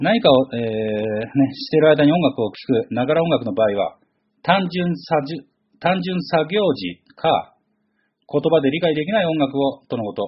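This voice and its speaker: This man's pitch is fairly high and swings very widely. He talks at a fairly slow pace. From Kanagawa, Chigasaki. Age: 40s. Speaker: podcast host. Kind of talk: casual solo monologue.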